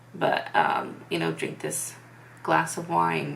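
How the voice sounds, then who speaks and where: A woman's voice carries audible room echo. Noticeable noise is present in the background. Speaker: vlogger. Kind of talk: personal testimony. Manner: monotone; hesitant, many fillers.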